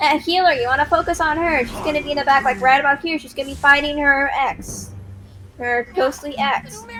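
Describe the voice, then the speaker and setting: Over noticeable background noise, a woman uses a raised, projected voice at a high pitch, moving at a fairly quick pace. Her loudness swings widely while her pitch varies in an ordinary way. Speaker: game raid leader. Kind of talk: game strategy briefing. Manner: fast.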